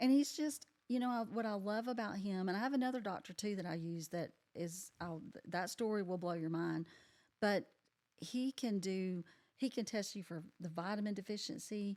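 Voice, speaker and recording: The woman has a normal speaking voice with ordinary pitch variation. She talks at a moderate pace. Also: medium pitch for a woman. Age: 60s. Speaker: podcast guest sharing life story. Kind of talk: casual interview chat.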